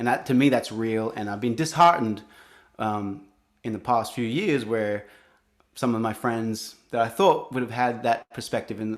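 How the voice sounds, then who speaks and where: Moderate pace with ordinary pitch variation. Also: man, medium pitch for a man. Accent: Australian. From Australia. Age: 40s. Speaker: singer-songwriter. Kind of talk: interview. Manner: halting.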